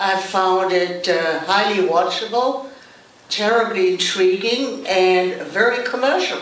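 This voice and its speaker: Speaking very slowly, a woman keeps a medium pitch and fairly even intonation. Noticeable background noise and audible room echo come through. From Germany. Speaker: actress. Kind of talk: panel discussion.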